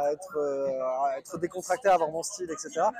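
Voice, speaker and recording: Ordinary pitch variation from a man, with noticeable background noise. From southwestern France (Bordeaux). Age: 30s. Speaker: marble mason. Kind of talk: interview. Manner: halting.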